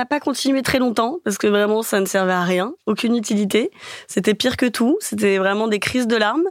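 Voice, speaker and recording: In a very clean recording with a silent background and a dry, close sound with no echo, a woman uses a normal speaking voice with a fairly high pitch, ordinary pitch variation, very even loudness, and a moderate pace. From Paris. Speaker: dating podcast guest. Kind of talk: casual interview.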